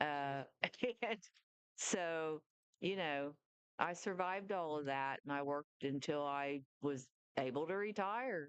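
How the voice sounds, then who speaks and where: A woman speaks at a fairly slow pace with a very deep, low pitch, ordinary pitch variation and long, frequent pauses, in a dry, close sound with no echo. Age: 60s. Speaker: retired nurse. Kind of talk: casual chat.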